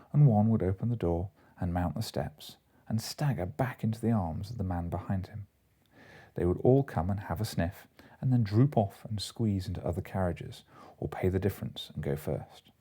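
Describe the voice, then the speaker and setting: Lively intonation over a calm, soothing, somewhat breathy tone, in a very clean recording with a silent background. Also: man, fairly low pitch for a man, moderate pace. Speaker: doctor, lecturer. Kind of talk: audiobook reading. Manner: calm, soothing bedtime reading.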